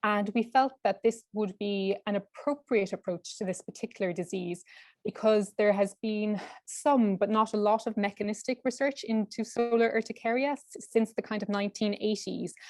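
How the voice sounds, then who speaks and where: A woman's fairly high voice in an Irish accent, at a moderate pace with fairly even intonation, recorded dry and close with no echo. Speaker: clinical research fellow, PhD student. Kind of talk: webinar presentation.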